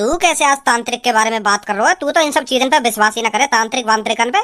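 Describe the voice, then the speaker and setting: In a cartoonish character voice, a female-sounding speaker races along at a very fast pace with a high pitch. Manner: boastful, dramatic.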